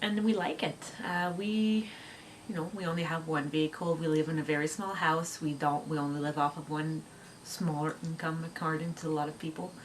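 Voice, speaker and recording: With a French Canadian accent, a woman speaks at a fairly quick pace in a very deep, low pitch, her intonation fairly even over noticeable background noise. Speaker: homeschooling mom vlogger. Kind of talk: casual chat. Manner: halting.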